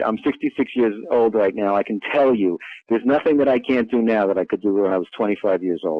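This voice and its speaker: In an unremarkable speaking voice, a man talks at medium pitch and a fairly quick pace, with hardly any pauses and ordinary pitch variation. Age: 60s. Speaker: physician and diet book author. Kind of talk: interview. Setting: studio.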